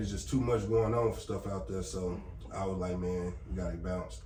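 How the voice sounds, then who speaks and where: A man with a very deep, low pitch talks at a fairly quick pace and uses lively intonation. Noticeable background noise and audible room echo are present. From Gary, Indiana (US Midwest), moved to Texas in high school. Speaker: security company owner. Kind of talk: casual chat.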